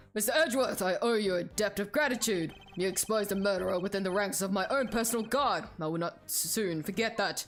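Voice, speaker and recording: Over music in the background, a woman uses a booming, put-on character voice at a medium pitch and a fairly quick pace, with ordinary pitch variation. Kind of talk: formal, presidential. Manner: grateful, solemn.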